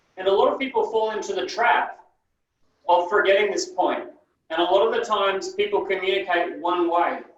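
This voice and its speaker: A man talks fairly quickly, with audible room echo around him. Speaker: NLP trainer. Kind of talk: training session lecture. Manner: sometimes mumbles.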